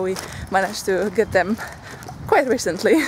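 A woman speaks over light background noise. The sound is dry with no echo. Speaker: vlogger. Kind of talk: casual vlog chat. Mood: cheerful, laughing. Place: street. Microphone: phone near.

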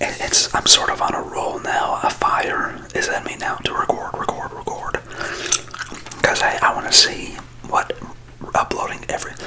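A man whispers at a moderate pace, leaving long, frequent pauses. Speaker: ASMR creator. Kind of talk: ASMR ramble. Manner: whispered.

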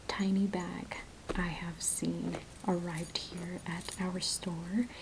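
Soft-spoken and very slow, a woman talks over noticeable background noise. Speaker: shop seller. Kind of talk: product showcase talk. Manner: soft-spoken ASMR shop-assistant voice. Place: shop.

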